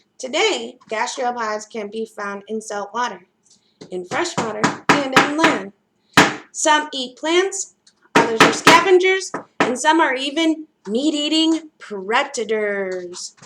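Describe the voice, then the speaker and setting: A woman speaks at a very slow pace and a high pitch. Her pitch swings very widely, and her loudness rises and falls in big swings. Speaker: library program host. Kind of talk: children's educational show; reading aloud. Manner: animated.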